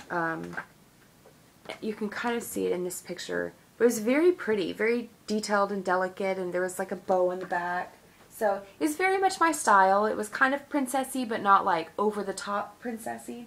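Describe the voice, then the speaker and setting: Speaking at a medium pitch, a woman uses lively intonation. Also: fairly quick pace. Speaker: vlogger. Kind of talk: casual vlog chat. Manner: hesitant, many fillers.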